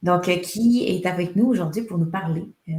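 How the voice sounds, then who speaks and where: A woman with a somewhat breathy, fairly low voice speaks with ordinary pitch variation. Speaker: HubSpot consultancy founder, webinar host. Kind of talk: webinar presentation.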